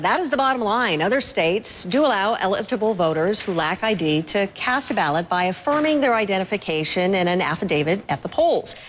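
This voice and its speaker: Over noticeable background noise, a woman at a medium pitch speaks at a fairly quick pace with hardly any pauses, lively intonation and very even loudness. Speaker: news anchor. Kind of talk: TV news interview.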